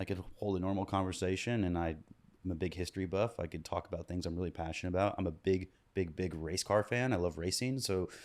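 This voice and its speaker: A very fast pace with fairly even intonation and an American accent, in a very clean recording with a silent background. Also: man, very deep, low pitch for a man. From US Midwest, Kansas City. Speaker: musician. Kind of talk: casual chat. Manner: halting.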